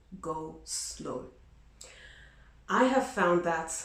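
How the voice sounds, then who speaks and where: With noticeable background noise and audible room echo, a woman talks at a fairly low pitch. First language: not English. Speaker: vlogger. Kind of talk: advice vlog. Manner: conversational, many fillers.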